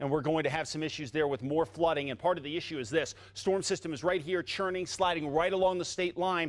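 A man races along at a very fast pace with hardly any pauses. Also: ordinary pitch variation. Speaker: TV presenter. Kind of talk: weather forecast commentary. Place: studio. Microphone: lapel.

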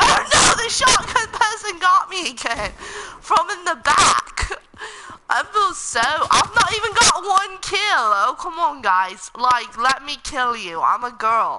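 Over noticeable background noise, a woman with an extremely high pitch uses a raised, projected voice at a very slow pace, her pitch swinging very widely. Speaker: gamer streamer. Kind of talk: live gameplay commentary. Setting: live stream. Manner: animated.

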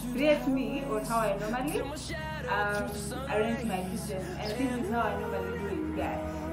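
A woman's voice at a moderate pace over loud music in the background. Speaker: lifestyle vlogger. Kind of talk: casual vlog chat. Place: kitchen. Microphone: lapel.

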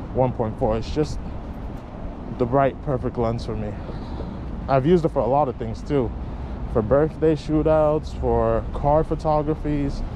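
A man speaks at a fairly slow pace with long, frequent pauses. The sound is dry with no echo, and there is noticeable background noise. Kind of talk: casual vlog chat. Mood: relaxed, chill. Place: street. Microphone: phone near.

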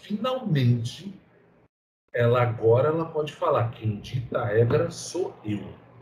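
Loud background noise accompanies a man speaking at a fairly slow pace. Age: 30s. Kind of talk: casual chat. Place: home room. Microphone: headset.

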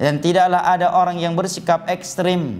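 A man talks in a high pitch. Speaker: Islamic preacher teaching prophetic biography. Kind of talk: religious lecture. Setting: live-streamed study session. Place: studio. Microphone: lapel.

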